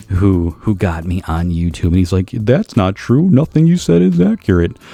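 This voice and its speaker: With noticeable background noise behind him, a man at a very deep, low pitch talks at a moderate pace with ordinary pitch variation. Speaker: comics YouTuber. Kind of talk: casual monologue.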